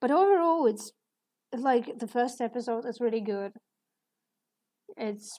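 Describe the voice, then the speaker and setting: A woman's fairly high voice with a non-native accent, on a very clean recording with a silent background. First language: not English. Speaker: artist streaming while drawing. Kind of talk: casual live stream chat. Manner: hesitant, many fillers.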